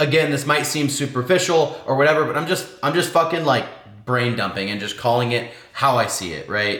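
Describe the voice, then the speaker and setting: A man talks with lively intonation. Noticeable background noise and audible room echo fill the recording. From Washington State. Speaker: lifestyle vlogger. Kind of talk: casual vlog monologue. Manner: fast; casual, filler-heavy.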